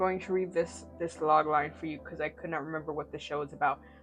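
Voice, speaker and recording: A woman talks at a very fast pace over music in the background. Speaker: TV series reviewer. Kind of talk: casual talk to camera. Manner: rambling, stuttering.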